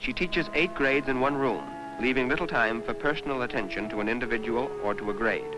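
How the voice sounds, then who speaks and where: A man's very fast, lively speech at a medium pitch, with music in the background. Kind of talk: documentary narration.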